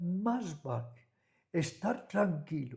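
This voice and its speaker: Very slow in pace, a man talks in a fairly high pitch with a dark, mellow tone. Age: 80s+. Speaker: meditation and yoga teacher. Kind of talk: interview conversation. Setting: at a friend's home.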